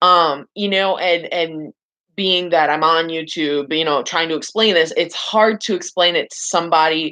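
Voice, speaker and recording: With a bright, sharp tone, a woman speaks in a fairly low pitch at a moderate pace and with fairly even intonation. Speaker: vlogger. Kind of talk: casual vlog monologue. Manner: halting, fumbling words.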